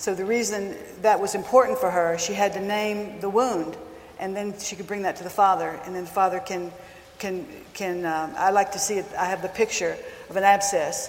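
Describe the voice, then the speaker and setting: Background noise is noticeable throughout. The intonation remains fairly even. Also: woman. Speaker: counselor. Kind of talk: talk to a live audience. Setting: stage with audience. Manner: soft-spoken.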